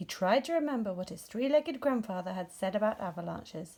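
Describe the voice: Speaking at a fairly quick pace, a woman has a medium pitch and lively intonation. Her tone is dark and mellow, with vocal fry.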